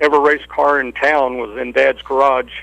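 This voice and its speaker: A man of medium pitch with an American accent speaks in a monotone, flat intonation. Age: 60s. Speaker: engine builder, racing hall of fame inductee. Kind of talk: interview. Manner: halting.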